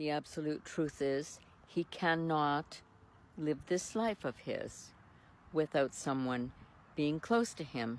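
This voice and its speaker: A woman's very deep, low voice at a very slow pace, with ordinary pitch variation. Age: 70s. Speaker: retired social worker and caregiver vlogger. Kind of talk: personal vlog monologue, partly read from notes.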